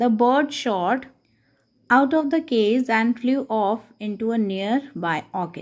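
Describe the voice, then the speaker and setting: A woman speaks at a very slow pace with an Indian accent. Her pitch sits fairly high. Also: ordinary pitch variation, quiet background. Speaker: teacher. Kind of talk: lesson explaining an English text in Hindi. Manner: reading aloud English passages. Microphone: phone near.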